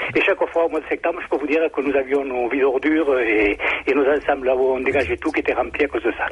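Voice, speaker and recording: A man's fairly high, very fast speech with fairly even intonation and very even loudness over noticeable background noise. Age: 60s. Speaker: caller, retired housing block manager. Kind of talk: radio call-in.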